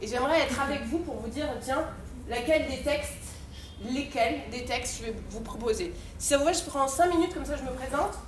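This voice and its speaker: A woman's loud, high voice in an animated tone at a fairly quick pace with ordinary pitch variation, amid noticeable background noise and audible room echo. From France. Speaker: poet and theatre actress. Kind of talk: conference talk. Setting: university conference.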